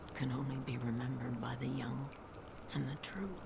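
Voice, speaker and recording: A put-on character voice rattles along at a fairly quick pace over loud background noise. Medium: machinima. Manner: cryptic.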